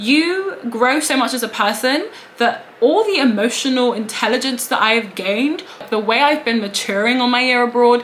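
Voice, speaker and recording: With a British accent, a woman talks at a moderate pace in a high voice with ordinary pitch variation over noticeable background noise. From England. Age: 20s. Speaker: law student. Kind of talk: casual talk to camera.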